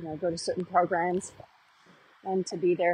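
Somewhat breathy and pitched fairly low, a woman speaks fairly quickly in a monotone, flat intonation. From Canada, Vancouver. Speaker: caller. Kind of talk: recorded voice message. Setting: phone message.

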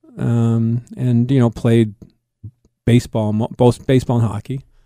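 Speaking fairly slowly with an American accent, a man has a medium pitch and a dark, mellow tone, recorded with a dry, close sound and no echo. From Boston, Massachusetts. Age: 60s. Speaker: sports radio host and hockey analyst. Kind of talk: interview. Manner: laid-back; halting.

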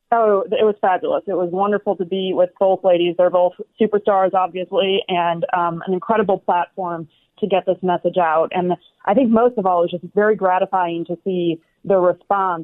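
A woman at a moderate pace, medium pitch, monotone and flat in intonation. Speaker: opinion writer. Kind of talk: interview. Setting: video call.

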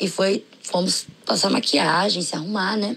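A woman with lively intonation talks at a fairly slow pace while noticeable background noise is heard. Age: 20s. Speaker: podcast listener. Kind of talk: recorded personal story.

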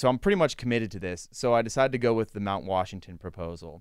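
On a very clean recording with a silent background, a man with an ordinary speaking voice talks at a fairly quick pace, with fairly low pitch and ordinary pitch variation. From western Pennsylvania (Latrobe). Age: 30s. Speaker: sports journalist. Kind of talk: casual chat. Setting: studio.

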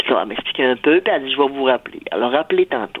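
With ordinary pitch variation, a woman speaks in a very deep, low pitch. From rural Saguenay, Quebec. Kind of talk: testimony.

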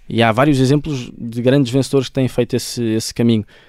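In a European Portuguese accent, a man talks at a very fast pace. His tone is dark and mellow, and the sound is dry and close with no echo. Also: very clean recording, silent background. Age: 20s. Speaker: football coach and author. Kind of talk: interview. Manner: halting, frequent repetitions.

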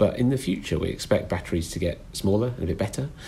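Very fast, somewhat breathy speech from a man with a British accent, dark and mellow in tone. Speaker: train fleet expert. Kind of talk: interview.

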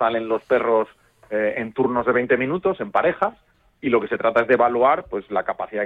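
Here a man speaks fairly quickly at a medium pitch in an unremarkable speaking voice. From León, Spain. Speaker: hunting club president. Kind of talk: radio interview.

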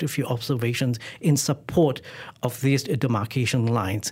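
Somewhat breathy, a man talks at a medium pitch and a moderate pace with ordinary pitch variation. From Malaysia. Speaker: paleontologist. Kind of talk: interview. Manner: halting.

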